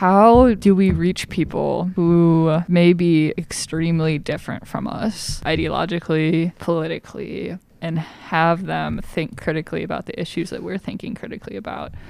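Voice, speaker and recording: Vocal fry marks a woman's fairly low voice. She talks at a moderate pace with ordinary pitch variation. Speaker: student podcast co-host.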